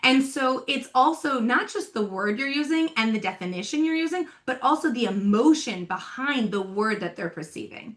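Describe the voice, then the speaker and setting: Loud and animated, a woman speaks at a moderate pace in a high pitch, her voice swinging very widely with hardly any pauses. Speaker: talent development coach. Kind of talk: podcast interview.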